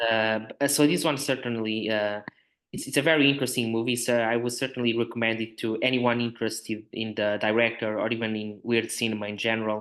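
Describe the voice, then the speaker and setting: In a Portuguese accent, a man speaks at a very fast pace. His intonation stays fairly even. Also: medium pitch for a man. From Portugal, north (Porto). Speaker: film writer. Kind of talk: podcast discussion. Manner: halting, many fillers.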